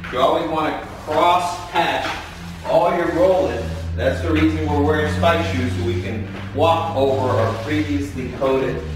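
A man speaks at a fairly slow pace, his pitch swinging very widely. Strong room echo and noticeable background noise fill the recording. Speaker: floor coating contractor. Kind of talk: tutorial. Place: garage.

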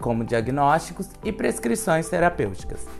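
A moderate pace over faint music in the background. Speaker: presenter. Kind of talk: informational explainer. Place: office.

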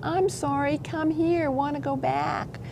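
A woman uses a put-on character voice at a fairly slow pace. Loud background noise fills the recording. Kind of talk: interview answer. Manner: pathetic, pleading.

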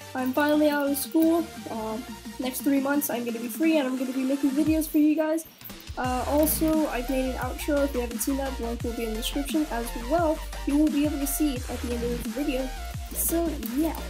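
A woman at a fairly quick pace, with music in the background. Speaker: gaming channel creator. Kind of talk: casual gameplay commentary. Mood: relaxed, glad school ended. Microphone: webcam.

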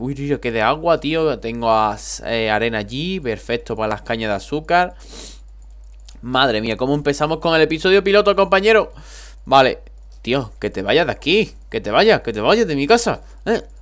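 Here a man speaks with a fairly high pitch and very wide pitch swings. His pace is moderate. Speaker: gaming youtuber. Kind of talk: gameplay commentary. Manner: animated.

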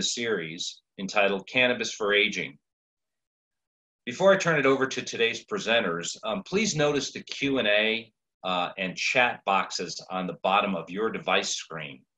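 A man's bright, sharp voice with lively intonation over a quiet background. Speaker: webinar moderator. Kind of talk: webinar introduction. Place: home room. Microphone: video call.

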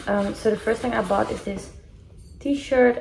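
A woman speaks with music in the background. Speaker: vlogger. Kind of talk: casual haul vlog chat. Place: home room. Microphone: phone near.

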